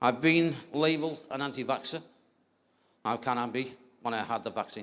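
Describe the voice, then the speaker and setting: This man holds a medium pitch with ordinary pitch variation, talking at a moderate pace. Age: 50s. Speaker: vaccine-injured speaker at rally. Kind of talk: speech read from notes. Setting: outdoor rally with crowd. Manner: reading aloud.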